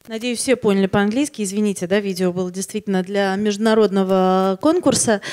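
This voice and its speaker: In a normal speaking voice, a woman talks at a fairly quick pace with hardly any pauses, using a medium pitch and fairly even intonation against a quiet background. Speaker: magazine publisher; conference speaker. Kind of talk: conference talk. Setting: stage with audience. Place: hall. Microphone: handheld.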